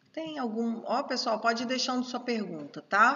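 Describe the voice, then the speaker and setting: Noticeable background noise can be heard. Through it, a woman talks at a fairly high pitch. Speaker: teacher at a prophetic school. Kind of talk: live online course. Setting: livestream.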